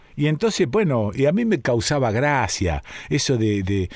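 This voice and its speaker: A man with a Rioplatense accent at a fairly slow pace. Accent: Argentine Rioplatense Spanish. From Argentina, Rosario. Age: 70s. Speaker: radio host. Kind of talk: radio talk and listener mail reading.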